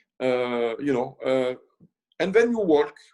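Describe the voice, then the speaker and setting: A man with a French accent. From France, north of Paris. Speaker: chef. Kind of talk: casual interview chat. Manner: halting, many fillers.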